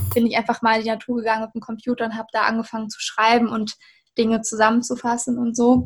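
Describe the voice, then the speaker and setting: Somewhat breathy and monotone, a woman with a fairly high pitch rushes along at a very fast pace. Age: 20s. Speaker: university student. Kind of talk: interview about studying.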